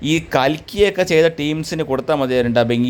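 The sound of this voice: Speaking at a fairly quick pace, a man has a fairly high pitch and a slightly mellow tone.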